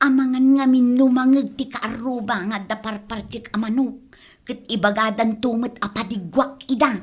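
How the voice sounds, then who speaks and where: A female-sounding voice in a put-on character voice, pitched fairly high. The pace is moderate. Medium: audio drama. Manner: evasive, jumpy.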